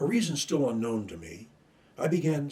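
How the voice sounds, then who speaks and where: The voice is dark and mellow in tone and somewhat breathy. It moves at a moderate pace with lively intonation. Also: man. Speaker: retired attorney sharing stuttering story. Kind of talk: personal testimony. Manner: formal.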